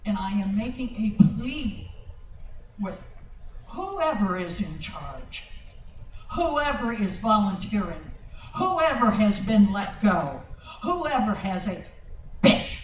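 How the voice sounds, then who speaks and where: With an American accent, the speaker goes at a very slow pace with long, frequent pauses over noticeable background noise. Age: 80s+. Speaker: public commenter at council meeting. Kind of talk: public comment. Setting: city council meeting. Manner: impassioned.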